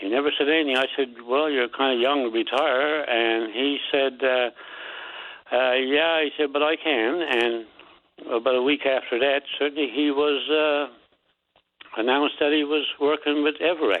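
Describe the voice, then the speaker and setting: With a Newfoundland accent, a man speaks at a moderate pace with a fairly high pitch. His intonation is fairly even and his loudness very even. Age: 70s. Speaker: caller. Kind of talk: call-in radio complaint. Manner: halting.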